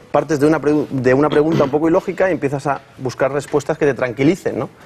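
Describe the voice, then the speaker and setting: Noticeable background noise fills the clip while a man speaks fairly quickly. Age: young. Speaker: psychologist and speech therapist. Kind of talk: TV interview. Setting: TV studio. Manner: halting, repeated syllables.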